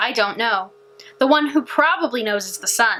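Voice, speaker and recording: Putting on a character voice, a woman speaks at a moderate pace in a fairly high pitch, with lively intonation and big swings in loudness. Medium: read story. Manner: menacing.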